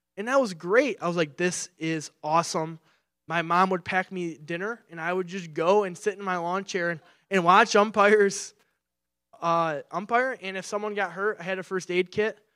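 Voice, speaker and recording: A man with a Midwestern American accent projects a raised voice, high in pitch, bright and sharp in tone. He keeps a moderate pace and fairly even intonation on a very clean recording with a silent background. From Michigan. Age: 20s. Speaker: pastoral resident. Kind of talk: sermon. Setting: church.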